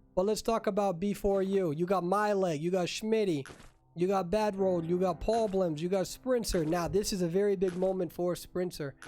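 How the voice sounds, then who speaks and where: A high male voice at a moderate pace with very even loudness, music in the background. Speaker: esports tournament emcee and commentator. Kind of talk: live commentary. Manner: animated.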